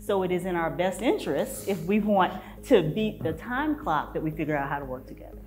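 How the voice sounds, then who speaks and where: Faint music plays in the background as a woman talks at a fairly quick pace. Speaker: panelist. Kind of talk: panel discussion answer. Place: hall.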